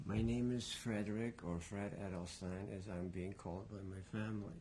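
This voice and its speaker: Dark and mellow in tone, a man speaks at a moderate pace with fairly even intonation and a fairly low pitch. Audible room echo surrounds his voice. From Poland. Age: 60s. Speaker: Holocaust survivor. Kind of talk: testimony. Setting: at home.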